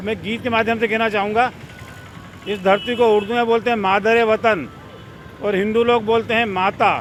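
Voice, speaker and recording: A man's high-pitched voice, flat and monotone, over noticeable background noise. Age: 60s. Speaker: cleanliness campaigner. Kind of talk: interview.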